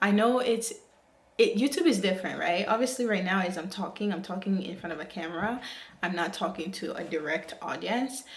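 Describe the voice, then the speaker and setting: Audible room echo, with ordinary pitch variation. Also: woman, medium pitch for a woman, fairly quick pace. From Africa, moved to the US as a child. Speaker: YouTuber. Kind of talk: vlog monologue to camera. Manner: hesitant, with fillers.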